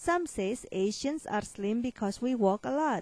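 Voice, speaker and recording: At a fairly slow pace, a woman speaks with a fairly high pitch, very wide pitch swings, a dark, mellow tone and a somewhat breathy quality, in a dry, close sound with no echo. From Asia. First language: not English. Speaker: weight loss consultant and author. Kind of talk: promotional monologue.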